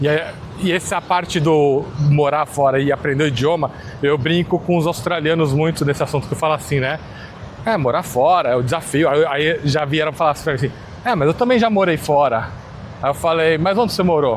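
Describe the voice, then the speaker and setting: Talking at a fairly quick pace with very even loudness, a man with a fairly high pitch is heard over noticeable background noise. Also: ordinary pitch variation. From Brazil, São Paulo (born in Minas Gerais). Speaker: podcast host. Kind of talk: casual interview chat.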